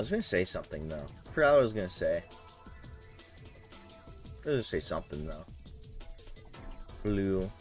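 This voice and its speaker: A man talking at a fairly quick pace yet with long, frequent pauses, music playing in the background. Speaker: streamer. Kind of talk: casual live-stream talk while gaming.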